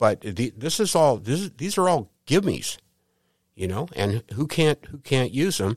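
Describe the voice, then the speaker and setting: This man talks at a fairly slow pace in a fairly high voice with vocal fry, and his pitch swings very widely. The recording is very clean with a silent background and a dry, close sound with no echo. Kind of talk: interview. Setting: studio.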